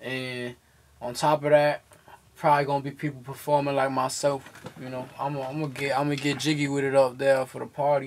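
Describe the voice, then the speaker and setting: A man talks at a fairly quick pace in a fairly high pitch. His intonation is monotone and flat, with light background noise behind him. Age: 20s. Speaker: podcast host and rapper. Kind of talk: casual chat. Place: studio.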